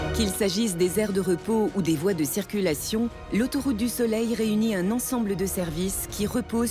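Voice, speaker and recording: A woman's voice with music in the background. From France. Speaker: voice actor. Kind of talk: documentary narration.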